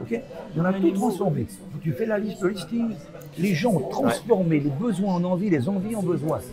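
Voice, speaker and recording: A high-pitched man with lively intonation, over music in the background and audible room echo. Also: moderate pace. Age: 70s. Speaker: hypnotist. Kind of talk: interview.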